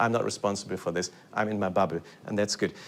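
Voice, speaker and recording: A man with a German accent, very fast, fairly low in pitch, in monotone, flat intonation. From Germany. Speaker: lecturer, composer. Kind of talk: lecture. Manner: halting, many repetitions and fillers.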